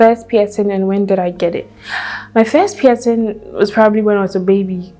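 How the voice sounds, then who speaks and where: In a Nigerian accent, a woman speaks at a moderate pace with a medium pitch. Her intonation is fairly even, and there is noticeable background noise. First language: Hausa. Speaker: YouTuber. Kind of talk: casual chat.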